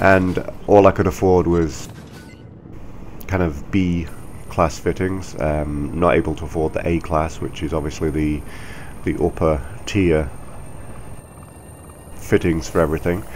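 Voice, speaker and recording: Speaking at a fairly slow pace, a man leaves long, frequent pauses. His very deep, low pitch keeps a fairly even intonation over noticeable background noise. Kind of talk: casual gameplay commentary. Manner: labored breathing.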